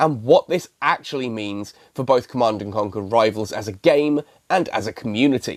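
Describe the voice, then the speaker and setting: A man with a British accent, lively intonation and a moderate pace, in a dry, close sound with no echo. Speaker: gaming YouTuber. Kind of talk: video commentary.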